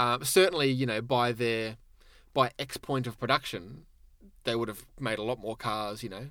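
Bright and sharp in tone, a man speaks with an Australian accent and ordinary pitch variation. The recording is very clean, with a silent background. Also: medium pitch for a man, moderate pace. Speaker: car magazine editor. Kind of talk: casual chat. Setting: studio. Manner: jokey, playful.

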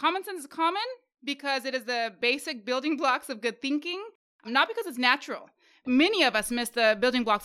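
Lively intonation carries a woman's high-pitched voice at a very fast pace. Her tone is bright and sharp. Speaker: podcast host and social worker. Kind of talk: casual conversational podcast discussion with faith themes.

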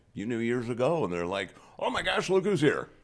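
Here is a man at a medium pitch. He speaks at a fairly quick pace. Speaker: radio host. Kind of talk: casual chat. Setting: studio. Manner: halting.

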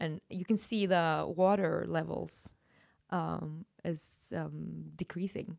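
Recorded very cleanly against a silent background, a woman with a Norwegian accent speaks at a very slow pace. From far north Norway, Kirkenes by Russian border. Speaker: comedian. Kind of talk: casual chat. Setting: studio.

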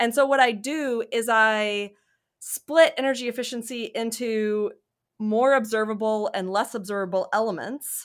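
This is a normal speaking voice with an American accent and fairly even intonation at a moderate pace. The recording is very clean with a silent background. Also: woman, fairly high pitch for a woman. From US South, Mississippi. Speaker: economics professor. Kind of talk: interview about research.

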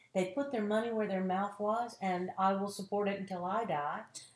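A woman's medium-pitched voice with a Southern US accent. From North Carolina, small tobacco town. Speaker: actress and acting teacher. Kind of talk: casual interview chat.

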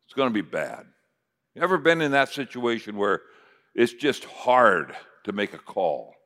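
The speaker has an American accent, a bright, sharp tone and lively intonation, with long, frequent pauses. The recording is very clean, with a silent background. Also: man, medium pitch for a man, moderate pace. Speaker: preacher. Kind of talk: sermon. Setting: stage with audience.

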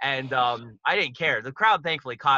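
With an American accent, a man delivers lively intonation in a bright, sharp, fairly high-pitched voice at a fairly quick pace, captured dry and close with no echo. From Pittsburgh, Pennsylvania, US. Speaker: musician and documentary filmmaker. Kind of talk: casual podcast interview.

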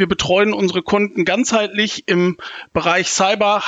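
A man talks at a moderate pace. His intonation stays fairly even. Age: 30s. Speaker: insurance broker, cyber insurance lead. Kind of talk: panel discussion.

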